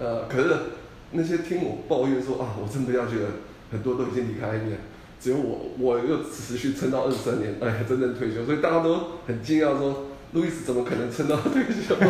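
Over noticeable background noise and audible room echo, a man with a medium pitch talks at a fairly quick pace with ordinary pitch variation. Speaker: company employee rehired after retirement. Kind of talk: casual interview chat.

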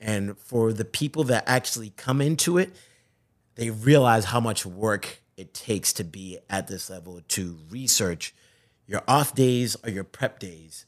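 A man's plain, everyday voice, lively in intonation with big swings in loudness, on a very clean recording with a silent background. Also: medium pitch for a man, fairly slow pace. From Zimbabwe, then Boston. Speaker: sports TV host. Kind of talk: casual interview chat.

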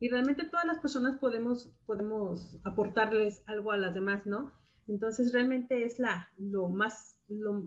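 A woman's somewhat breathy, fairly high voice, fairly slow with hardly any pauses. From Mexico, Guadalajara, Jalisco. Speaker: music educator, association president. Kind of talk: casual interview. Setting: live video stream.

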